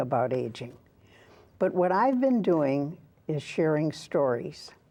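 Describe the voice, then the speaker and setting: Speaking at a moderate pace, this woman has a fairly low pitch. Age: 80s+. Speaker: author and former public radio broadcaster. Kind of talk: interview.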